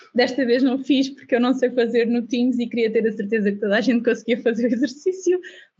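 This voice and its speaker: The voice races along at a very fast pace with hardly any pauses. Loudness stays very even, and pitch varies in an ordinary way. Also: woman, high pitch for a woman. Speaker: UX/UI design instructor. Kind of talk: online class. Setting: video call.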